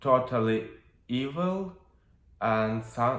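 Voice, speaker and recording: With a Russian accent, a man speaks at a very slow pace. His intonation is lively, and audible room echo surrounds his voice. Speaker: witch and tarot reader. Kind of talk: video monologue. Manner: halting, many fillers.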